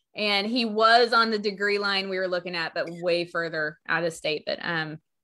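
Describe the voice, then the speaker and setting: A woman's medium-pitched voice shows ordinary pitch variation as she talks at a moderate speed. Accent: Texas. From Texas. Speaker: astrologer and tarot reader. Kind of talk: casual chat. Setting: live online video show.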